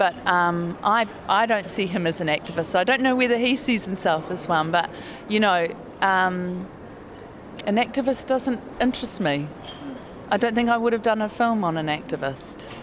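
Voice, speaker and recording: With a New Zealand accent, a woman speaks at a moderate pace and a medium pitch, her intonation lively and her pauses long and frequent. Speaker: documentary filmmaker. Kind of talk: interview. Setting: hotel lobby.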